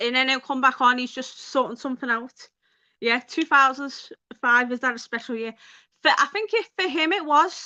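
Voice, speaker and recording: In a Liverpool accent, a woman projects a raised, high-pitched voice with a bright, sharp tone and ordinary pitch variation against a quiet background. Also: moderate pace. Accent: Scouse. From Liverpool, England. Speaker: YouTuber hosting a livestream. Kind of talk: casual livestream chat. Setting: live video stream.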